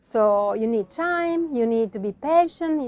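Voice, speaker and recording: Fairly high female voice in an Italian accent, at a fairly slow pace with lively intonation, against a quiet background. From Italy, Verona (Veneto). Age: young. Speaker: wine producer. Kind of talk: interview. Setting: on location at winery. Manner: halting.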